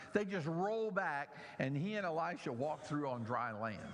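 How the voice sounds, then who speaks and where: Audible room echo carries a man's fairly high voice with an American accent and very wide pitch swings. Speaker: pastor. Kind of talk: sermon.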